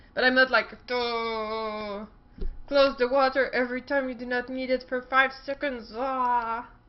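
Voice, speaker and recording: A woman talks in a French Canadian accent. Her voice is high-pitched. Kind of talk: casual talk to camera. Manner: upbeat, playful.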